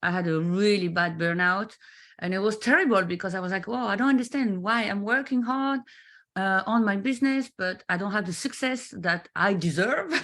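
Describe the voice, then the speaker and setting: Against a quiet background, a woman with a French accent speaks at a moderate pace. Her pitch is medium, with ordinary variation. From France. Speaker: business mentor. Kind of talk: interview. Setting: live video stream. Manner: halting, many fillers.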